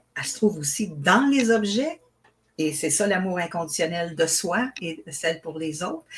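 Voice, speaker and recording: Her pitch is medium for a woman. She speaks with lively intonation. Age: 60s. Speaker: author and spiritual teacher. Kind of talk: interview. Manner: hesitant, with fillers.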